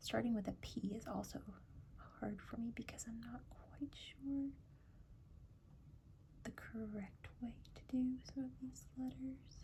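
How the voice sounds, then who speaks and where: The speaker is soft-spoken. The pace is very slow. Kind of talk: ASMR bullet journal setup talk to camera.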